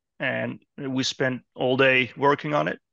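The recording of this man is dry and close, with no echo. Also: quiet background. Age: 40s. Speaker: software engineer. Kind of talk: interview. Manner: halting.

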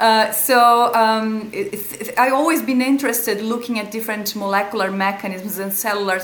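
A fairly high-pitched woman speaks with a Portuguese accent over noticeable background noise. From Brazil. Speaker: epilepsy researcher and pharmacy lecturer. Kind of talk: interview. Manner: halting, with frequent repetitions.

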